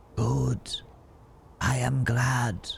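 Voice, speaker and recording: A man whispers in a put-on character voice with hissing, over clear background noise. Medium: game stream. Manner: calm, unhurried.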